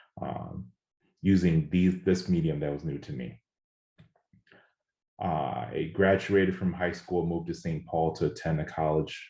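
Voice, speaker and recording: A man speaks at a moderate pace in a very deep, low pitch. His tone is dark and mellow. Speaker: spoken word poet. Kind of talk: personal reading at a live event.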